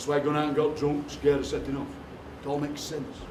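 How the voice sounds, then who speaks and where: Talking at a very fast pace in a Yorkshire accent, the man is heard with audible room echo and noticeable background noise. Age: 60s. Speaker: poet. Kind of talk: live workshop performance. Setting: stage with audience. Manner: animated.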